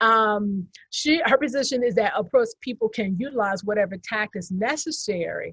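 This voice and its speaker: With a quiet background behind her, a woman talks at a moderate pace with hardly any pauses, using lively intonation in an unremarkable speaking voice. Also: fairly high pitch for a woman, dry, close sound with no echo. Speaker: historian panelist. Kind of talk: lecture-style slide presentation.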